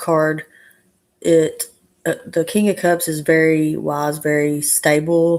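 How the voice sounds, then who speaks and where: Very slowly and in a monotone, flat intonation, a woman with an Arkansas accent speaks at a very deep, low pitch for a woman. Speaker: tarot reader. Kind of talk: live stream tarot reading. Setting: live stream.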